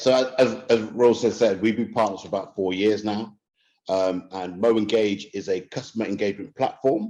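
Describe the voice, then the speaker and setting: A man with a London accent speaks at a fairly low pitch with ordinary pitch variation against a quiet background. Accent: British, London-style. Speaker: marketing executive. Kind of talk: webinar presentation. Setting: online webinar. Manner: fast; stammers on some words.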